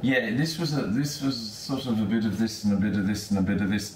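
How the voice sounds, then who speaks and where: Noticeable background noise behind a man, his pitch varying in an ordinary way. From United Kingdom. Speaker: international tour guide. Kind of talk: interview answer.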